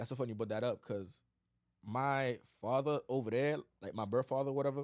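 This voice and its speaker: Over a silent background in a very clean recording, a man talks at a very fast pace and medium pitch with ordinary pitch variation and a Haitian accent. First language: Haitian Creole. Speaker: podcast co-host. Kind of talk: casual chat.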